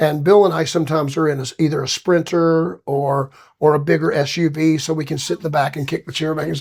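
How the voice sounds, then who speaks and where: In a very clean recording with a silent background, a man with a Southern US accent speaks very fast, fairly high in pitch, with fairly even intonation. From Alabama, US South. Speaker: singer. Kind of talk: casual chat.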